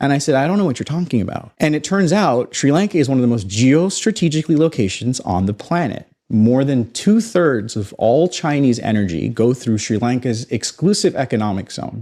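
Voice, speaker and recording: With an American accent, a man of medium pitch and a dark, mellow tone speaks at a fairly quick pace with hardly any pauses and very wide pitch swings, in a very clean recording with a silent background. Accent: American-sounding North American. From Canada (Toronto). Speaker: space entrepreneur, former banker. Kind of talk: podcast interview.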